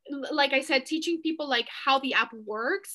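Against a quiet background, a woman with a high pitch and a bright, sharp tone speaks at a moderate pace. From Mexico, raised in San Diego, California. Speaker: TikTok coach. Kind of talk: casual interview. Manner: animated, many fillers.

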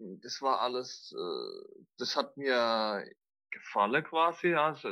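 A man at a very slow pace, medium in pitch, with a slight Mannheim accent. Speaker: extreme trail runner and former heroin addict. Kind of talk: personal interview testimony. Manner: halting, many fillers.

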